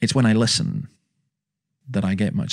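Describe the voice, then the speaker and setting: A man talks at a fairly quick pace in a Scottish accent. His pitch is medium. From Scotland. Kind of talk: interview, personal storytelling.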